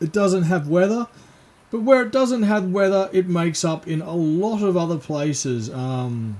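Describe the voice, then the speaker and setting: The speech comes in an Australian accent at a fairly slow pace. Noticeable background noise runs underneath. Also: man. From Western Australia, Perth. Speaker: gaming streamer. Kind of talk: casual gaming livestream chat. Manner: hesitant, many fillers.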